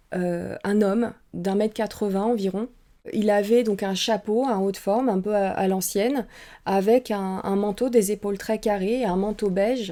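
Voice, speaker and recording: A woman's medium-pitched voice with a dark, mellow tone, a Saint-Étienne accent, flat monotone intonation and a fairly slow pace. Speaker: paranormal investigator and streamer. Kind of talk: testimony. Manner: hesitant, many filler sounds.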